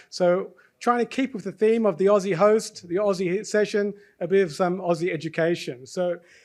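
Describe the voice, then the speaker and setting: This man speaks at a moderate pace with an Australian accent, his pitch high. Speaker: session host and faculty member. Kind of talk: live event hosting. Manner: animated.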